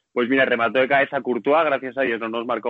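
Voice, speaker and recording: Medium in pitch and fairly even in intonation, a man speaks in an unremarkable speaking voice. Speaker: supporters' club member. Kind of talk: casual chat. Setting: airport. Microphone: may sound poor.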